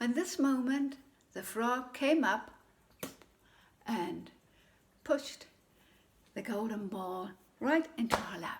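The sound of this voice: A woman speaks slowly, leaving long, frequent pauses. Her fairly high voice carries lively intonation.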